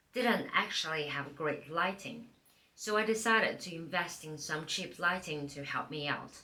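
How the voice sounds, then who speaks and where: With audible room echo, a woman in a non-native accent speaks at a moderate pace and a fairly low pitch. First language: not English. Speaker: part-time YouTuber. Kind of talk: tutorial, reading from a teleprompter. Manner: scripted, read from teleprompter.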